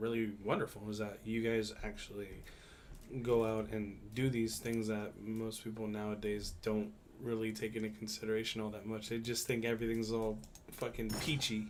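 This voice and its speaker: Speaking in a monotone, flat intonation at a moderate pace, a man with a medium pitch is heard amid audible room echo. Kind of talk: casual chat.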